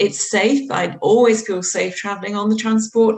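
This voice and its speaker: Noticeable background noise sits behind the speaker. A woman talks at a moderate pace. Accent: London. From London. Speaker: planning lawyer panelist. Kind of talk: online panel discussion. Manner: conversational, some hesitation.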